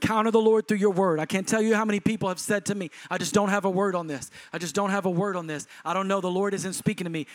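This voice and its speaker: The speaker talks at a very fast pace with a Texan accent and ordinary pitch variation. The sound is dry and close, with no echo. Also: man. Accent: Texan Southern US. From Texas. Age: 40s. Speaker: pastor. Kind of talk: sermon, charismatic preacher exhorting the congregation. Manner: emphatic, urgent exhortation in short punchy imperatives; rhythmic, building intensity.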